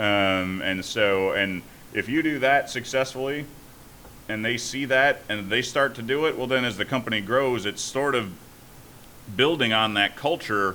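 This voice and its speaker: A man's booming voice moves at a moderate pace with ordinary pitch variation. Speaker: startup founder and CEO. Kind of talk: podcast interview. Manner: halting.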